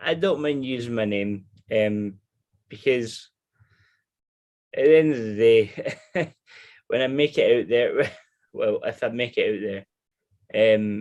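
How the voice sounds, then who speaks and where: A man talks fairly slowly with a Scottish accent. His speech has long, frequent pauses. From Scotland. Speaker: person with alcoholism telling his story. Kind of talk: personal testimony in interview. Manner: halting, many restarts.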